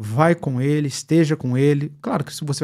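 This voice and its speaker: A man talks at a moderate pace with a Brazilian accent and a dark, mellow tone. The recording is very clean, with a silent background. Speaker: pastor and online preacher. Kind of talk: live-stream Q&A, reading viewer comments. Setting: live stream. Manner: animated.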